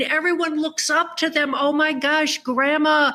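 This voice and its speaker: A woman projects a raised voice at a high pitch, her tone bright and sharp, speaking at a fairly slow pace with fairly even intonation. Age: 70s. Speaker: author. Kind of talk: interview.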